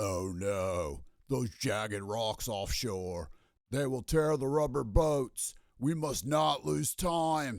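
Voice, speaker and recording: In a put-on character voice, a man speaks at a very slow pace with a relaxed tone and medium pitch on a very clean recording with a silent background. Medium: read story. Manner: relaxed surfer drawl.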